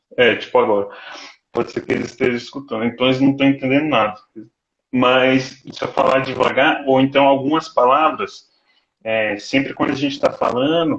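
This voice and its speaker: A man at medium pitch and a moderate pace, fairly even intonation, an unremarkable speaking voice. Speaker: doctoral student. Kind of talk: casual chat.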